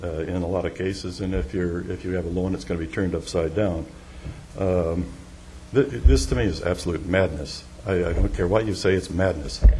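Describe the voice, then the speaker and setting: Speaking at a fairly quick pace with ordinary pitch variation, a man with a very deep, low voice is heard amid audible room echo. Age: 70s. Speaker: property developer speaking at public comment. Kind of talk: public comment at council meeting. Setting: council chamber podium. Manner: halting, many fillers.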